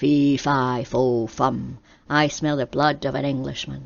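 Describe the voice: A booming, put-on character voice at low-to-middle pitch moves at a fairly slow pace.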